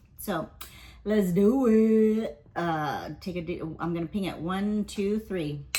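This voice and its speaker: A woman's somewhat breathy voice, dark and mellow in tone, moves at a very slow pace. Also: medium pitch for a woman, ordinary pitch variation. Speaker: tarot reader. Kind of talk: casual tarot reading. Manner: casual, filler-heavy.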